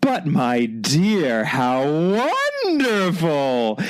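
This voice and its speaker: A man does a put-on character voice. It is shrill, with a fairly high pitch. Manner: gushing, delighted.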